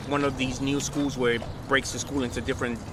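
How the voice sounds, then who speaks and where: A New York accent over noticeable background noise. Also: man. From New York City, Upper West Side. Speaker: hip hop DJ, producer and engineer. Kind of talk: oral history interview answer. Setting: outdoors. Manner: casual, conversational.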